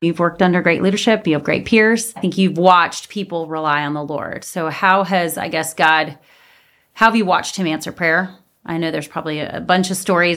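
An ordinary speaking voice from a woman, fairly low in pitch, fairly quick and fairly even in intonation, on a very clean recording with a silent background. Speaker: podcast host. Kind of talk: faith-based interview.

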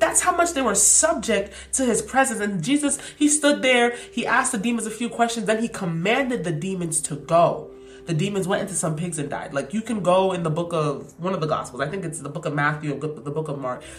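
Over noticeable background noise and audible room echo, a woman speaks with very wide swings in pitch. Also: medium pitch for a woman, fairly quick pace. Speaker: podcast host. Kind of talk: faith reflection monologue. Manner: animated.

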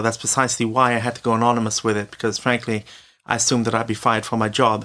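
The man's tone comes across bright and sharp. He speaks very fast. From Britain. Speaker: former day school teacher, anonymous author. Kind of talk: interview answers.

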